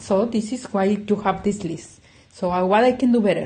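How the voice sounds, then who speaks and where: A woman with a non-native accent speaks at a fairly high pitch and a moderate pace. Her voice is somewhat breathy with a dark, mellow tone and ordinary pitch variation. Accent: non-native English speaker. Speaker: clinical psychologist. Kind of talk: self-help talk. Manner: conversational, frequent 'yeah?' tags.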